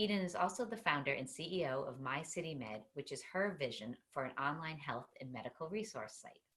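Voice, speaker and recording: Speaking in a Boston accent, a woman with a very deep, low pitch moves at a fairly quick pace, barely pausing, her pitch swinging very widely. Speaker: talk show host. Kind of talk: interview.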